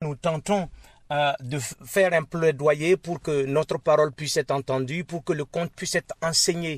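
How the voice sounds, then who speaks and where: A man speaks in a normal speaking voice at a fairly slow pace, fairly high in pitch with ordinary pitch variation. The very clean recording has a silent background and a dry, close sound with no echo. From Burkina Faso. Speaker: storyteller. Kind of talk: interview.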